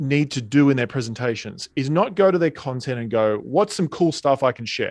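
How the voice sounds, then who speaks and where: With an Australian accent and lively intonation, a man talks at a moderate pace on a very clean recording with a silent background and a dry, close sound with no echo. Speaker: speaking and sales coach. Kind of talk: interview.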